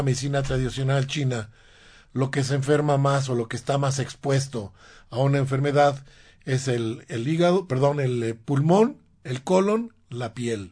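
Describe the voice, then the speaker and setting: Over a quiet background, a man talks at a fairly slow pace in a fairly high, somewhat breathy voice. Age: 60s. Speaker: radio host and alternative medicine doctor. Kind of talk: health talk radio show. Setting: radio studio. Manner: halting, frequent repetitions.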